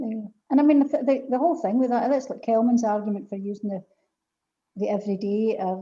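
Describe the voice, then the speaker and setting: A somewhat breathy voice with a dark, mellow tone comes through in a west of Scotland accent. The pace is fairly quick. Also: woman. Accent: Scottish (west of Scotland). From Scotland, Paisley. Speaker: poetry event host. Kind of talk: casual chat. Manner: animated.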